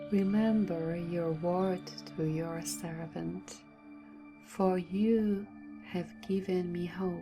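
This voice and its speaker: A woman speaks very slowly. Music runs in the background. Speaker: narrator. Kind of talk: scripture reading for sleep. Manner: calm.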